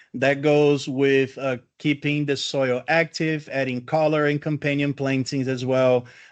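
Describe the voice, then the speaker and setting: Against a quiet background, a man with a Brazilian accent speaks fairly slowly in a fairly high voice. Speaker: landscaping educator. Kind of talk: lecture.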